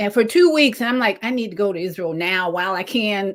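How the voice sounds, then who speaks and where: Lively intonation and an animated tone from a woman in a very clean recording with a silent background. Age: 60s. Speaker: livestream host. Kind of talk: casual interview chat. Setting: live video stream.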